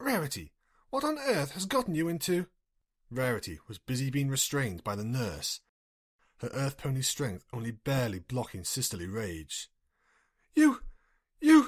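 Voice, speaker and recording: On a very clean recording with a silent background, a man talks at a moderate pace, his loudness swinging widely, with long, frequent pauses. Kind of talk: audiobook-style fanfiction reading, solo, unedited. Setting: home recording, single voice with no editing. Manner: plain reading, character voices not distinguished.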